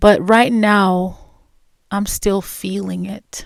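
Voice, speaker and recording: Soft-spoken, a woman talks at a very slow pace. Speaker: podcast host. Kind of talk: personal reflective monologue. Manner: slow, with pauses.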